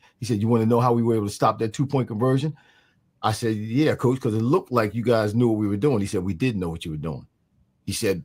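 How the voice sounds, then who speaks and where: Here a man talks with lively intonation and an American accent. He has a plain, everyday voice at a medium pitch. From New Jersey, Mount Holly. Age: 60s. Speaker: former pro football player. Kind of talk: interview.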